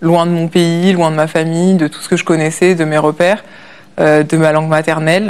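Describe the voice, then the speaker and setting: A woman's fairly low-pitched voice with monotone, flat intonation at a moderate pace. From France. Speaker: olympic rower. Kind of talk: interview. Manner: hesitant, many fillers.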